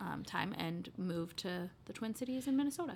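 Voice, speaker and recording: With an American accent, this ordinary speaking voice moves at a moderate pace with lively intonation. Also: woman. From Iowa (Des Moines, Beaverdale). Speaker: college alumna, coffee company employee. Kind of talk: casual interview.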